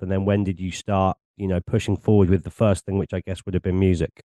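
This man's voice has a dark, mellow tone and a dry, close sound with no echo. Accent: English. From England. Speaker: podcast host and DJ. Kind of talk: casual interview chat. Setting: video call.

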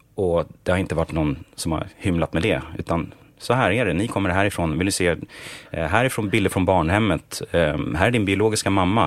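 A man's very deep, low voice moves at a fairly quick pace through noticeable background noise. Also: ordinary pitch variation. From Sweden, Stockholm. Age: 30s. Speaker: songwriter and music producer. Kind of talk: interview.

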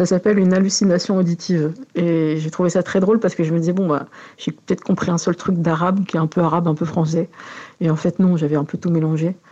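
A woman's fairly low voice at a very fast pace, with monotone, flat intonation and very even loudness. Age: 40s. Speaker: interviewee. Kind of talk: testimony.

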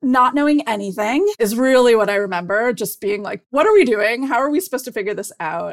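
A woman's ordinary speaking voice with an American accent, fairly high in pitch, lively in intonation, at a fairly quick pace with hardly any pauses. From US Midwest, Cleveland, Ohio. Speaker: corporate lawyer, guest. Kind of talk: interview.

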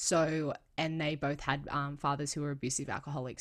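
With an Australian accent, the speaker goes at a fairly quick pace in a monotone, flat intonation, on a very clean recording with a silent background. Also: woman. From Australia, south of Sydney (Cronulla area). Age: 20s. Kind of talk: interview conversation.

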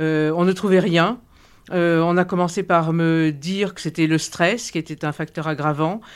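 A woman's unremarkable speaking voice, fairly low in pitch, with fairly even intonation, a fairly slow pace and a very clean recording with a silent background. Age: 60s. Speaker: patient. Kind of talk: testimony.

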